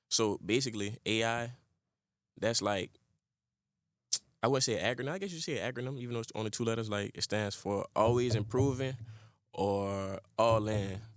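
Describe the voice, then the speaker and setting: A man talks at a moderate pace in a relaxed tone, with medium pitch and ordinary pitch variation. He leaves long, frequent pauses. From New Orleans, Louisiana. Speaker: rapper. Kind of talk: casual interview. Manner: relaxed, filler-heavy.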